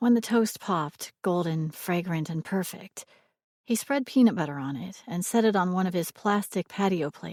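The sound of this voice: Over a hushed background, someone reads in an unforced voice.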